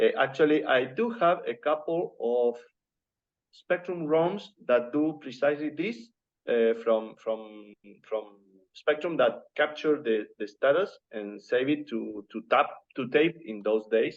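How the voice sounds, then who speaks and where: A man with a non-native accent speaks at a fairly slow pace. His fairly high-pitched voice has lively intonation. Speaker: hardware developer. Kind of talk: technical discussion.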